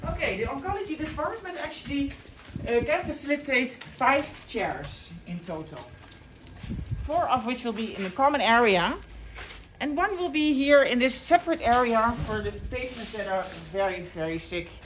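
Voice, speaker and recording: The speech moves at a moderate pace over light background noise. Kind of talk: guided tour commentary. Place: hall. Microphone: phone near.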